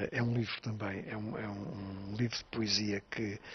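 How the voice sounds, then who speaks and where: This man's voice sits fairly low and comes out monotone and flat. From Azores, Pico island. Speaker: writer. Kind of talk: interview. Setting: on location on Pico island. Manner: halting, with frequent repetitions and fillers.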